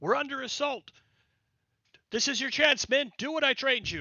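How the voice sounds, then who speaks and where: Using a put-on character voice, a man talks at a moderate pace with an extremely high pitch. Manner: commanding.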